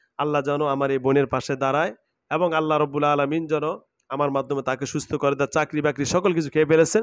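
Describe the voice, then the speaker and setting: Recorded dry with no echo, a man with a fairly high pitch speaks in a plain, everyday voice with fairly even intonation. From Bangladesh. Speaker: Islamic faith healer. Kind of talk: exorcism session; address to viewers. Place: home room. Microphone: lapel.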